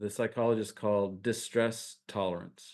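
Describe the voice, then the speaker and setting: The speaker has a plain, everyday voice and a fairly slow pace. Intonation is fairly even over a quiet background. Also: man. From upstate New York. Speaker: minister and spiritual teacher. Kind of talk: spiritual interview.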